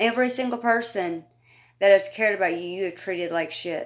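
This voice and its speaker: Mumbling from a woman at medium pitch, with ordinary pitch variation, on a very clean recording with a silent background. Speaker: commentary YouTuber. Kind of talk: casual commentary rant. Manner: animated.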